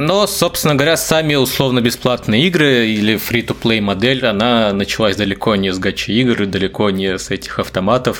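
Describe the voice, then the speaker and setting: A man speaks with a normal speaking voice at a medium pitch. His moderate pace carries lively intonation, with hardly any pauses. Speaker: podcast co-host. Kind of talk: casual chat.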